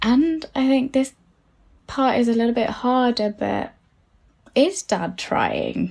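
Long, frequent pauses break up a woman's very slow speech, high in pitch and in a British accent. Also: ordinary pitch variation. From UK, of Sri Lankan parents. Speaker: psychotherapist. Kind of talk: advice conversation.

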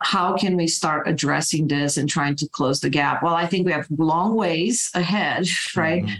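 Fairly low in pitch, a woman speaks in a Romanian accent. Her pace is moderate and her pitch variation ordinary. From Romania, Bucharest. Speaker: cybersecurity executive. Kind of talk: interview.

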